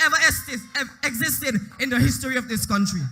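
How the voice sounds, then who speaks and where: Over music in the background, a man talks at a moderate pace in a raised, projected voice. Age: young. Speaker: youth political leader. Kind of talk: political rally speech.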